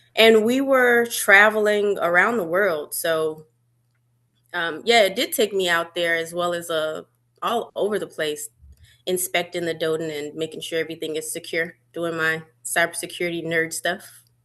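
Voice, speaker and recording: A woman speaks at a moderate pace in a fairly low pitch, with a bright, sharp tone, ordinary pitch variation and a quiet background. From Birmingham, Alabama. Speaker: army veteran and cybersecurity contractor. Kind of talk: interview.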